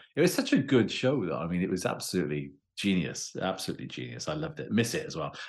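Very fast and with vocal fry, a man with a Welsh accent and a very deep, low pitch makes very wide pitch swings. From Wales. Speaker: criminology professor and author. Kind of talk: interview conversation. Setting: remote call.

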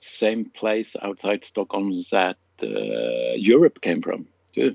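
A man at a very slow pace. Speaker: radio co-host. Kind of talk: casual radio co-host banter and band trivia.

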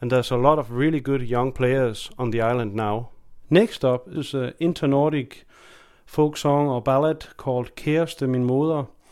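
A man with a Danish accent, medium pitch and fairly even intonation, in a very clean recording with a silent background. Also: moderate pace. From Denmark. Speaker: folk fiddler and guest radio presenter. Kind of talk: music radio presenting. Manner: casual with filler hesitations.

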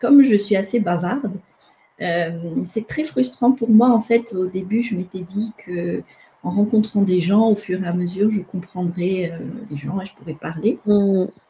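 This woman's voice is somewhat breathy, with a dark, mellow tone at a medium pitch. She talks at a fairly slow pace with ordinary pitch variation. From Madagascar. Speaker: theology student. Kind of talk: interview.

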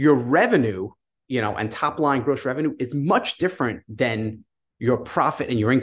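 At a moderate pace, a man with an American accent talks in an unremarkable speaking voice with ordinary pitch variation. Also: medium pitch for a man. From New York. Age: 50s. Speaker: online business entrepreneur. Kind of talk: casual interview.

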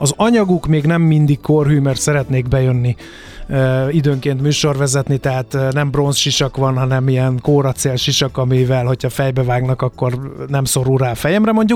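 Noticeable background noise fills the recording. Through it, a man talks at a medium pitch. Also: ordinary pitch variation, moderate pace, very even loudness. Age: 50s. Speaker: radio host and historical reenactor. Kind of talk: interview.

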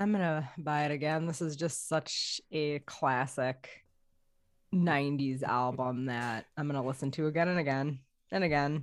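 A woman with a very deep, low voice and ordinary pitch variation is heard in a very clean recording with a silent background. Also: moderate pace. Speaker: podcast panelist. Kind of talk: casual chat.

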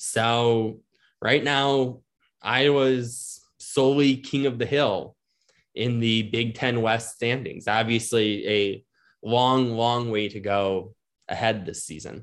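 A man with an American accent at a medium pitch, very slow pace, and fairly even intonation, against a quiet background. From US Midwest, Milwaukee suburbs, Wisconsin. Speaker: sports reporter and podcast host. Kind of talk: casual sports podcast chat.

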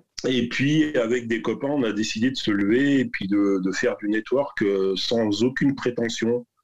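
Fairly slow delivery and ordinary pitch variation in a normal speaking voice. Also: man. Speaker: entrepreneur, business network founder. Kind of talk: casual interview. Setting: video call. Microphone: poor audio quality over video call.

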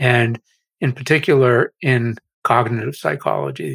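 Breathy to some degree, a man with an American accent speaks on a very clean recording with a silent background, the sound dry and close with no echo. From Massachusetts, US. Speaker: AI researcher and author. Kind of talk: interview.

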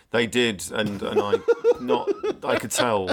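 Man with a British accent. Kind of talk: casual chat.

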